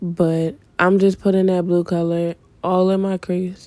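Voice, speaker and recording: At a moderate pace, a woman talks in a relaxed, dark, mellow tone, her fairly low voice flat and monotone. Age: 20s. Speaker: beauty vlogger. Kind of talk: makeup tutorial. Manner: casual, relaxed.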